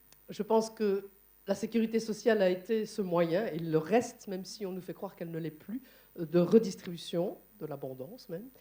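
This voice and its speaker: A woman's dark, mellow tone shows ordinary pitch variation and big swings in loudness. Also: medium pitch for a woman, moderate pace. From Belgium, Liège. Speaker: conference moderator and trade unionist. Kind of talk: panel discussion at a conference. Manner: hesitant, many fillers.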